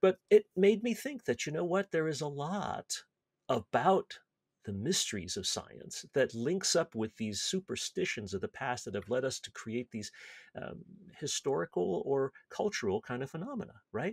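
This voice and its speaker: With vocal fry and very wide pitch swings, a man talks at a moderate pace in a dry sound with no echo against a quiet background. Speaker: podcast host. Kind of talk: casual podcast explanation. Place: home room. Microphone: webcam.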